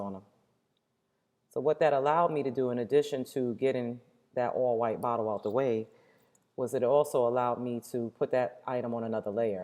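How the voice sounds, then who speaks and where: A woman's very deep, low voice, dark and mellow in tone, at a fairly quick pace with ordinary pitch variation, over a quiet background. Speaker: teacher. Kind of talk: tutorial. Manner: fast.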